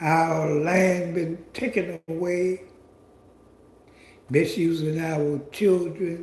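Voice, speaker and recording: At a very slow pace with long, frequent pauses, a man speaks in a high pitch with fairly even intonation. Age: 70s. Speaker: commentary channel host. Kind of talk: monologue commentary. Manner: halting.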